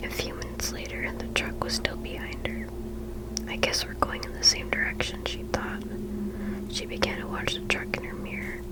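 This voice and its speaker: Someone whispers over noticeable background noise. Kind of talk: ASMR story reading. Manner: whispered.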